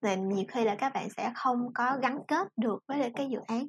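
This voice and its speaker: In a dry, close sound with no echo, a woman speaks at a moderate pace with a high pitch and lively intonation. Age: 20s. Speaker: NGO foundation assistant and project mentor. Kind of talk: casual podcast interview.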